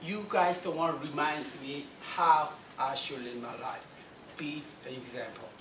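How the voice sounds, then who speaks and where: Speaking with a strong Korean accent, a woman with a very deep, low voice and ordinary pitch variation goes at a fairly slow pace with long, frequent pauses and big swings in loudness, amid audible room echo and noticeable background noise. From South Korea. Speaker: motivational speaker. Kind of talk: motivational talk.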